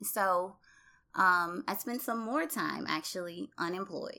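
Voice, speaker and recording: A woman with a Southern US accent, bright, sharp tone, very wide pitch swings and very slow pace, on a very clean recording with a silent background. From US South, Louisiana (Baton Rouge). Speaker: public health professional. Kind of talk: interview testimony. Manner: hesitant with fillers.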